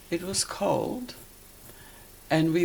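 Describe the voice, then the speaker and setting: Over noticeable background noise, a woman with a Polish accent speaks at a very slow pace in a very deep, low pitch. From Poland. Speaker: interviewee, Siberia deportation survivor. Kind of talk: interview, life story. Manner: halting.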